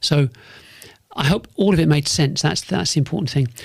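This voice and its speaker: A man speaks with a London accent at a fairly high pitch. His pitch varies in an ordinary way. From North London. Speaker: business podcast host and consultant. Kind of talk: solo podcast monologue. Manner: repetitive, restarts phrases often; fairly sharp.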